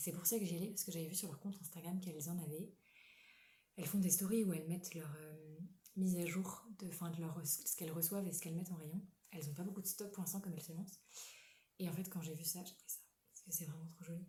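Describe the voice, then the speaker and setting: Talking very fast yet with long, frequent pauses, a woman uses a fairly low, somewhat breathy voice with a dark, mellow tone and monotone, flat intonation. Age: 20s. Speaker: knitting podcaster. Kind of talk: casual chat. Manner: halting.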